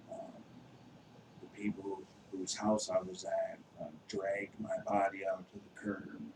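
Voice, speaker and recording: A man with an American accent at a fairly slow pace, with long, frequent pauses and big swings in loudness. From Wisconsin. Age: 30s. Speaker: recovering addict sharing testimony. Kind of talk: testimony. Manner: hesitant, many fillers.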